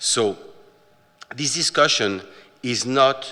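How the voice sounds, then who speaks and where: The speaker is a man with a French accent. His pitch variation is ordinary. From France. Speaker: watch company manager, presenter. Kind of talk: lecture. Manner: halting, many filler words.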